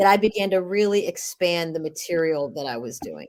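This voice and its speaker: With an American accent, a woman talks in a fairly low pitch with very wide swings in her pitch. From Cleveland, Ohio. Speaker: jazz vocalist and voice over artist. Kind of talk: interview answer.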